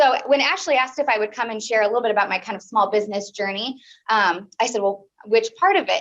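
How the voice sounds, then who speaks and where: Someone talks at a very fast pace with a Midwestern American accent and ordinary pitch variation. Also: woman. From US Midwest, Peoria, Illinois. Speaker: small business owner and college teacher. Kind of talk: speech to a club meeting. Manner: animated.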